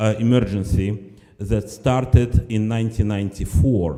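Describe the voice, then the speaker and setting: At a fairly slow pace, a man speaks at medium pitch with a dark, mellow tone and ordinary pitch variation. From former Soviet Union. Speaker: nonprofit director. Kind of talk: speech at benefit event.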